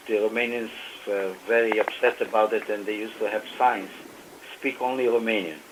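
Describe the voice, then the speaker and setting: Over noticeable background noise, a man with a medium pitch speaks at a fairly quick pace, leaving long, frequent pauses. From Romania. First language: Yiddish and German. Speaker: author and Holocaust survivor. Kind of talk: radio interview. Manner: hesitant, many fillers.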